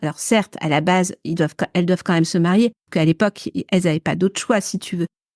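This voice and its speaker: Pitch moves in an ordinary way. The sound is dry and close with no echo, on a very clean recording with a silent background. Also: woman. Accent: northern French. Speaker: podcast co-host. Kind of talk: casual chat. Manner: halting, many repetitions and fillers.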